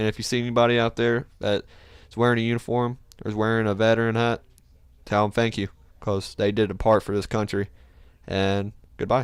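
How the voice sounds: A man speaks at a fairly quick pace with a fairly low pitch and a clear, smooth tone. His pitch moves little, and he takes long, frequent pauses.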